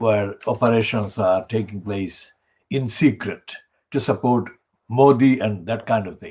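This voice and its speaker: With a somewhat breathy voice at a medium pitch, a man speaks at a fairly slow pace, showing ordinary pitch variation and big swings in loudness. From Bangladesh. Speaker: community campaign organizer and channel presenter. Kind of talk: solo political monologue.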